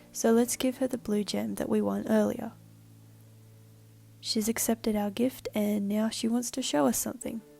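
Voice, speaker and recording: There is music in the background as a woman talks at a moderate pace. She leaves long, frequent pauses. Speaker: university student. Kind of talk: game prototype walkthrough narration.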